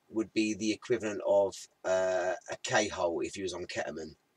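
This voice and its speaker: A man with a British accent at a fairly slow pace, in a dry, close sound with no echo. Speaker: cannabis channel live streamer. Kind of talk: casual live stream chat. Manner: hesitant, repeating words.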